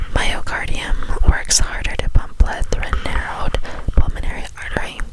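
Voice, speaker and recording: A woman whispers fairly slowly while noticeable background noise carries on around her. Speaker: ASMR creator. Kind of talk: ASMR textbook reading, soft relaxing read-aloud. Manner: whispered, soft.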